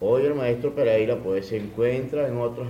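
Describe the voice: A man speaks at a fairly low pitch with a dark, mellow tone. Audible room echo surrounds his voice.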